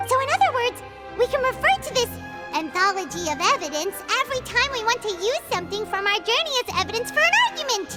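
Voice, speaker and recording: A put-on character voice at an extremely high pitch races along at a very fast pace. Clear music plays in the background. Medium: machinima. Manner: bubbly, fast.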